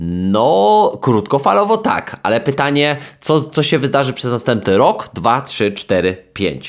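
Speaking at a very slow pace, a man swings his pitch very widely on a very clean recording with a silent background. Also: medium pitch for a man, very even loudness. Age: 20s. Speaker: sports psychologist and podcast host. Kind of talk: solo podcast monologue. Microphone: new microphone.

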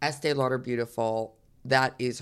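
A woman in a New York accent, with ordinary pitch variation, on a very clean recording with a silent background. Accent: New York American. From New York, US. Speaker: fragrance company co-founder. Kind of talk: interview. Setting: in person in Melbourne.

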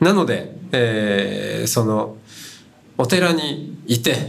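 A man speaks over noticeable background noise. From Hokkaido, Japan. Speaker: Buddhist monk and podcast host. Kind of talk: talk at a live event. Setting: university festival stage with audience.

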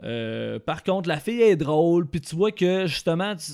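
A man speaks at a fairly high pitch in a very clean recording with a silent background. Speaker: podcast panelist. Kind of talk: casual chat.

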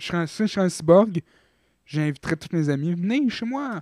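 On a very clean recording with a silent background and a dry, close sound with no echo, a man with a Quebec accent speaks at a fairly quick pace with ordinary pitch variation. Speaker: podcast co-host. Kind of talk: casual chat.

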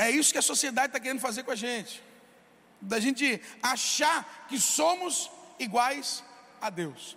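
The voice is raised and projected, with ordinary pitch variation. It moves at a moderate pace, broken by long, frequent pauses. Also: man, extremely high pitch for a man. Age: 20s. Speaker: pastor. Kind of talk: sermon.

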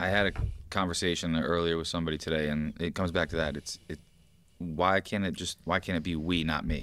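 Flat and monotone, the speaker talks very fast with an American accent on a very clean recording with a silent background. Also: man, very deep, low pitch for a man. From upstate New York. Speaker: podcast co-host and gym trainer. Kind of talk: casual chat. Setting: gym.

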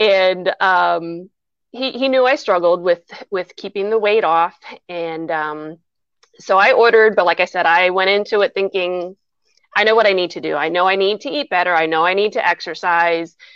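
A woman with an American accent and a normal speaking voice talks at a moderate pace, using a medium pitch with ordinary pitch variation. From Lebanon County, Pennsylvania. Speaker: small business owner. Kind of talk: casual interview.

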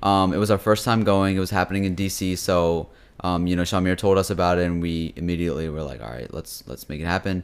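Very deep and low in pitch, a man speaks at a very fast pace with ordinary pitch variation. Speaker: podcast host. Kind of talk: casual chat. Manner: bantering, jokey.

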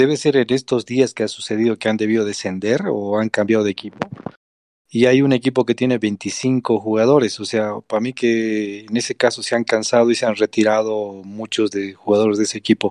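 A man with a plain, everyday voice at medium pitch, fairly even intonation and a fairly quick pace, in a dry, close sound with no echo. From Bolivia. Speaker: gamer, team leader. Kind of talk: casual chat.

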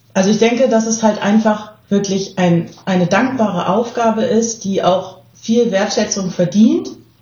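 A woman with a fairly high pitch speaks at a fairly slow pace, with ordinary pitch variation and very even loudness. She leaves hardly any pauses, and audible room echo surrounds her voice. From southern Germany. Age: 30s. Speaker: volunteer agency staff member. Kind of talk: casual interview.

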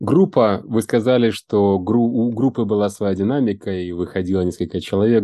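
A man with a fairly low pitch and a dark, mellow tone speaks at a moderate pace. His pitch variation is ordinary, and the background is quiet. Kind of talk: interview. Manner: formal.

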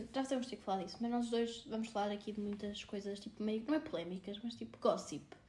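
Speech moves at a fairly quick pace. Noticeable background noise can be heard. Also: woman. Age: 20s. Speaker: podcast co-host, marketing graduate. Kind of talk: casual chat.

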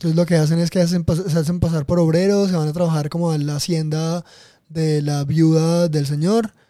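At a moderate pace, a man talks in a high, dark, mellow voice. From Colombian Caribbean coast, Montelíbano, Córdoba. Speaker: podcast guest, left-wing activist. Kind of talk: casual chat.

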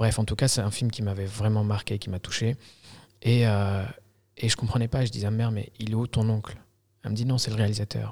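Fairly quickly yet with long, frequent pauses, a man speaks at a fairly low pitch in a somewhat breathy, monotone voice with flat intonation, in a very clean recording with a silent background. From Algeria. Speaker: filmmaker. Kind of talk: casual interview. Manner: halting.

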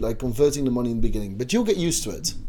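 A man with a Dutch accent and a fairly high pitch, against noticeable background noise. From Netherlands. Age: 20s. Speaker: student podcast host. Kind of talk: casual chat.

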